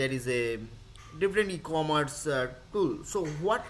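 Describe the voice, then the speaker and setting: Amid audible room echo, a man with a fairly high pitch and lively intonation talks at a fairly slow pace. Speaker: lecturer. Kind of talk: lecture.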